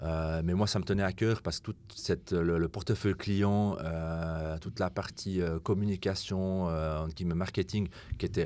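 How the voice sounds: The speaker is a man. He keeps a moderate pace.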